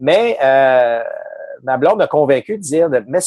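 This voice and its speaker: A man talks at a moderate pace in a plain, everyday voice. The sound is dry and close, without echo. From Quebec City region. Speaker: baseball analyst, former player. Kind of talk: casual interview. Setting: video call.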